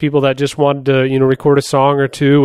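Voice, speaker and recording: A normal speaking voice at a fairly quick pace. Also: man. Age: 30s. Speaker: podcast host and home recording musician. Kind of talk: tutorial. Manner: casual, frequent filler words.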